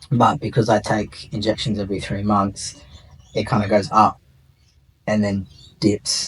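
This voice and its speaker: With an Australian accent, a man speaks at a moderate pace in a fairly low, somewhat breathy voice, his intonation fairly even and his pauses long and frequent. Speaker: interviewee sharing gender transition story. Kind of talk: interview.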